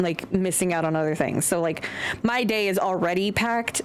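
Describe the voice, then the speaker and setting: Against noticeable background noise, a woman of medium pitch speaks at a moderate pace with an American accent. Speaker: streamer. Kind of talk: casual chat.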